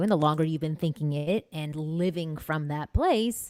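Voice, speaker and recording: A woman with a Canadian accent talks at a fairly quick pace with a very deep, low pitch and ordinary pitch variation. The recording is very clean with a silent background. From Canada (Toronto). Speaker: dating coach. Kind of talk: casual chat. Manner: soft-spoken.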